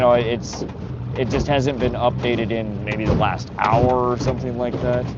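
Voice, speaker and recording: A man speaks amid noticeable background noise, his voice carrying audible room echo. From North Dakota. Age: 40s. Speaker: fishing livestreamer. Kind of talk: live stream chat with viewers. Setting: outdoors on a boat. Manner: casual, repetitive stammering.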